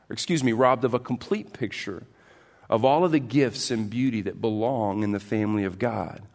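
Speaking fairly quickly, a man uses an unremarkable speaking voice at medium pitch with ordinary pitch variation. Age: 40s. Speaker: pastor. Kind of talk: sermon. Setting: church.

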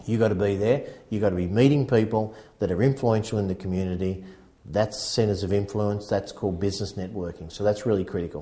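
Speaking very fast with an Australian accent, a man uses a fairly low, somewhat breathy voice with a dark, mellow tone and fairly even intonation. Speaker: real estate agency founder and sales coach. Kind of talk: casual chat. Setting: real estate office.

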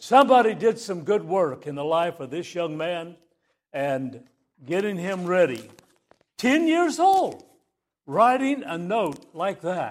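A man with an American accent talks in a high voice at a fairly slow pace, with long, frequent pauses. His pitch swings very widely and his loudness shifts in big swings. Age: 70s. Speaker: pastor. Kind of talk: sermon. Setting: church.

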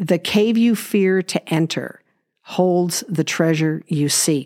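Very slow speech from a woman with a West Coast US accent, fairly low in pitch with ordinary pitch variation, in a very clean recording with a silent background. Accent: General American (West Coast). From Los Angeles, US. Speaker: podcast host, natural healing. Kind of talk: personal monologue.

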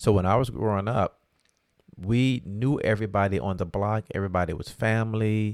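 A man speaks in an unremarkable speaking voice, fairly low in pitch. He keeps a fairly quick pace with ordinary pitch variation. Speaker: podcast co-host, father of co-host. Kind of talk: casual chat.

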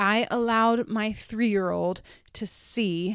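A woman with an animated tone is heard on a very clean recording with a silent background. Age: 30s. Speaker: podcast host and pastor. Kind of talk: casual motivational monologue. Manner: animated, frequent laughter.

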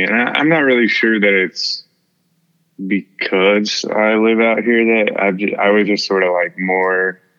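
Talking at a fairly slow pace, a man with an American accent and a fairly low pitch keeps his intonation fairly even. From Houston area, Texas. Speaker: singer-songwriter. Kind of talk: casual interview chat.

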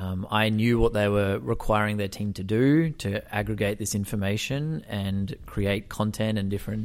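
A man with an Australian accent and a fairly low pitch speaks at a moderate pace in a very clean recording with a silent background. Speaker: startup founder and venture capitalist. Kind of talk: interview.

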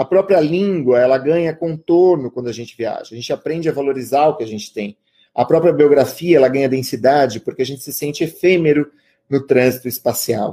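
A man speaks at a fairly quick pace, with fairly high pitch and ordinary pitch variation. His tone is dark and mellow, and his loudness swings widely. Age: 30s. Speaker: writer and creative writing teacher. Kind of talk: lecture.

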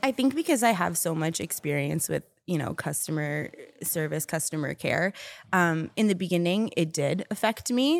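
In a very clean recording with a silent background, a woman with a normal speaking voice talks at a moderate pace with lively intonation. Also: fairly low pitch for a woman. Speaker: team member at a company. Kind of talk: casual chat.

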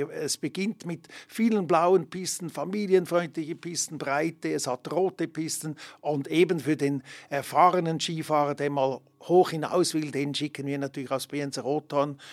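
A man talks with an unremarkable speaking voice at a fairly high pitch. His intonation is fairly even and his pace moderate. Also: very clean recording, silent background. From Switzerland, Emmen (canton Lucerne). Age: 60s. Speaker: ski resort director. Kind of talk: interview. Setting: studio.

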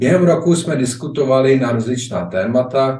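There is audible room echo as a man speaks, somewhat breathy, at a fairly slow pace with ordinary pitch variation. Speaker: magazine podcast host. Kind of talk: interview; scripted intro. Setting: remote link from Prague.

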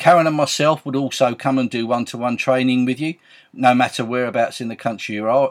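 Very fast and medium in pitch, a man's voice comes through in a very clean recording with a silent background and a dry, close sound with no echo. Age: 60s. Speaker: Avon sales team leader and podcaster. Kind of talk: sales pitch. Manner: enthusiastic, chatty.

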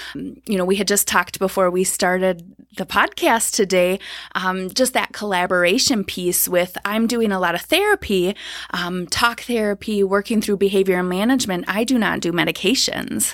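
Captured in a very clean recording with a silent background, a woman with an Upper Midwest accent speaks at medium pitch with ordinary pitch variation. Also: moderate pace. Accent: Upper Midwest American. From Minnesota, Twin Cities. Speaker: counselor. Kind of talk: casual interview. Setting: studio, early morning.

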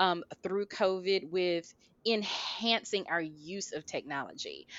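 A woman with a medium pitch speaks in an enthusiastic tone. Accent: American. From US South, Albany, Georgia. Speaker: healthcare operations director. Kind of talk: interview.

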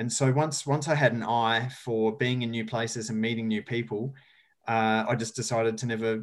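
A man with an Australian accent speaks at a fairly quick pace in a monotone, flat tone. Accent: Australian, noticeable. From rural South Australia. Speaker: sustainability educator and speaker. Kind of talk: casual interview.

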